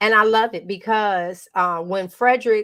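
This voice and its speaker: This is a very clean recording with a silent background. The speech moves at a moderate pace. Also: woman. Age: 60s. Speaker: health and lifestyle coach. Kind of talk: casual chat. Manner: animated.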